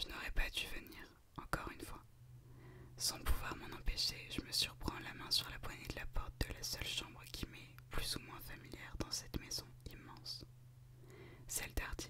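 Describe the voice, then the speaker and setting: A woman whispers at a moderate pace, her loudness swinging widely. She leaves long, frequent pauses. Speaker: ASMR creator. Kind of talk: whispered audiobook-style reading of a novel. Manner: whispered, soft. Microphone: studio mic.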